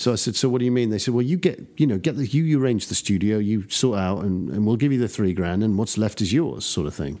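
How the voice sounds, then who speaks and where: This voice has an English accent and a dark, mellow tone, with lively intonation. It moves at a very fast pace on a very clean recording with a silent background. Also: man, fairly low pitch for a man. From England. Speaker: record producer and mixer. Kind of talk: interview.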